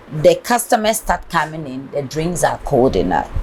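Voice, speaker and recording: A woman speaks over noticeable background noise. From Ghana, Ashanti. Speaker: businesswoman, restaurant owner. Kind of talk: interview.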